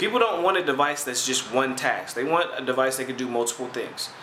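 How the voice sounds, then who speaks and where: Very fast speech from a man, amid noticeable background noise and audible room echo. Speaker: gaming video host. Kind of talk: casual commentary responding to viewer comments.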